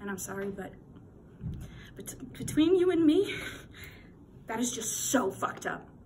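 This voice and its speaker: A woman's high voice at a fairly slow pace, with very wide pitch swings, big swings in loudness, long, frequent pauses and light background noise. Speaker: actor performing a character. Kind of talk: theatrical monologue performance, scripted dramatic piece delivered as a character. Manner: emphatic, building in intensity, with pauses for stress. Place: home room. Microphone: phone near.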